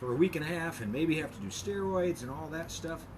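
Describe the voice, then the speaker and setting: Here a man speaks at a fairly high pitch. Audible room echo and noticeable background noise surround him. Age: 60s. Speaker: chiropractor. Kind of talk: casual tutorial. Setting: outdoors at home. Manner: relaxed, hesitant with many fillers.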